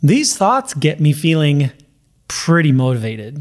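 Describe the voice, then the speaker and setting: Somewhat breathy and fairly high, a man speaks at a moderate pace with ordinary pitch variation. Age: 50s. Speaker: weight loss coach for runners. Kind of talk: podcast monologue. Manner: casual, conversational with fillers.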